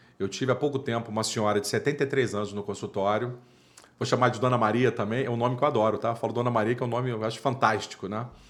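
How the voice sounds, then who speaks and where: An animated man's voice at medium pitch, very fast. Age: 50s. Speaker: dental surgeon. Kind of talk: interview.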